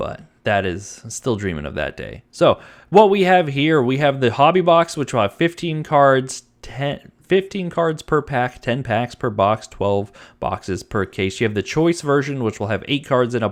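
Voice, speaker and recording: A man's voice makes very wide pitch swings. The recording is very clean, with a silent background. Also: medium pitch for a man, moderate pace. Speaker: trading card channel host. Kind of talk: casual product rundown. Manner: halting.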